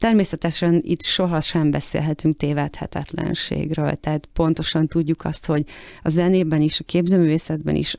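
A woman with a very deep, low pitch and a dark, mellow tone speaks at a fairly slow pace in monotone, flat intonation, with a dry sound with no echo and a quiet background. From Hungary. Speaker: art collector and art consultant. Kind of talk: interview. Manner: halting, many repeated words. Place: studio.

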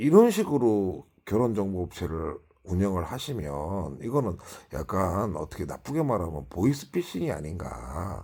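Pitch swings very widely in a man's fairly low voice at a fairly slow pace. The recording is very clean, with a silent background. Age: 50s. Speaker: YouTuber. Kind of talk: casual monologue vlog. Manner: halting, many fillers.

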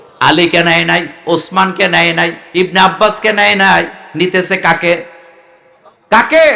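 A man speaks in a high pitch with an animated tone and very even loudness. Noticeable background noise sits behind him. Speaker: Islamic preacher. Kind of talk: sermon.

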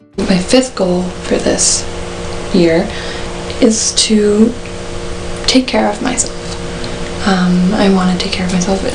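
Someone talks at a very slow pace, with noticeable noise in the background. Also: woman. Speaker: university student. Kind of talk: casual talk to camera. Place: home room. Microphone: webcam.

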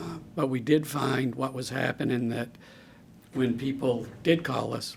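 Noticeable background noise sits behind the speech. A man talks at a moderate pace. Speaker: ambulance service official. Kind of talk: public meeting presentation.

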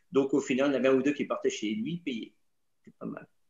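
Over a quiet background with audible room echo, a man talks at a very fast pace, fairly high-pitched and with ordinary pitch variation. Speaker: tour guide. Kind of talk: casual webinar talk. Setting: video call. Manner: jovial, humorous. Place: home room. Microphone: video call.

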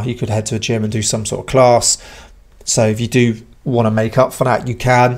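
This man speaks at a fairly quick pace in a monotone, flat intonation against a quiet background. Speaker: channel host. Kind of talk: casual vlog chat. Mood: relaxed, reflective, some laughs. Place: garage. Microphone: studio mic.

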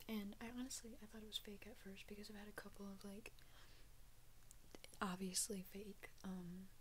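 Soft-spoken and somewhat breathy, a woman whispers at a moderate pace over light background noise. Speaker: ASMR content creator. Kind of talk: casual talk to camera. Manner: soft-spoken, whispered. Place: home room. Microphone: studio mic.

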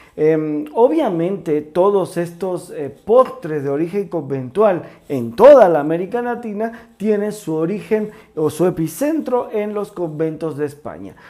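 At a fairly slow pace, a man speaks in a high pitch. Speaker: presenter. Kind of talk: cooking show history explanation. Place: kitchen.

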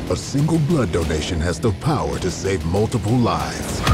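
An American-accented man at a moderate pace, dry with no echo, against loud background noise. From United States. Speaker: voice actor. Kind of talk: TV commercial read. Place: booth.

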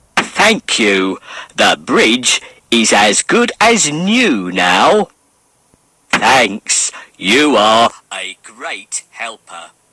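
A raspy put-on character voice from a man, medium in pitch, very slow, with long, frequent pauses. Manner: calm, steady.

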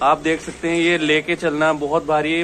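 Fairly slow speech from a man with a fairly high pitch, with light background noise. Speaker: YouTube vlogger. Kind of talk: casual talk to camera. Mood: warm, admiring. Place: street. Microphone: phone near.

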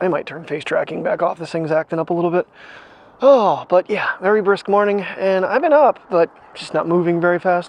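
This man speaks at a moderate pace in a dry recording with no echo. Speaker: daily vlogger. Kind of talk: casual vlog chat. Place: street. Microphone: lapel.

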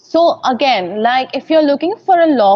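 Over a quiet background, a woman speaks with lively intonation in a dry sound with no echo. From India. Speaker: in-house lawyer. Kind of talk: interview. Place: hall. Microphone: earbuds.

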